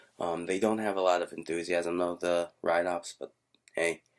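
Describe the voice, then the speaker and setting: A man's quiet, very deep, low-pitched voice at a fairly quick pace. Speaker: vlogger. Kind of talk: casual vlog. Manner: quiet, hushed; hesitant, many fillers.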